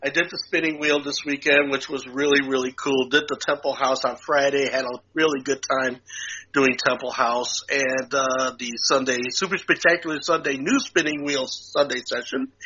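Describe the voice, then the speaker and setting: With noticeable background noise, a man talks at a moderate pace and fairly high pitch in a monotone, flat intonation, with hardly any pauses. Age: 60s. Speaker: podcast co-host. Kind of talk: casual chat. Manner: halting, many fillers and repeats.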